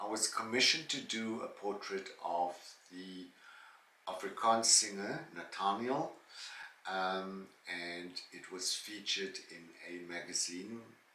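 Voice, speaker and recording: A man's fairly low voice at a fairly slow pace, with long, frequent pauses, ordinary pitch variation and big swings in loudness, plus audible room echo and noticeable background noise. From South Africa. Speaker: vlogger and former singer, teacher and painter. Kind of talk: Q&A monologue. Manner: hesitant with fillers.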